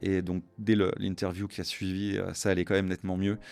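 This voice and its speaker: This man's very deep, low pitch carries through his moderate pace. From Luxembourg. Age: 50s. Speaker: business executive, entrepreneur. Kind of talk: interview conversation. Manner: hesitant, many fillers.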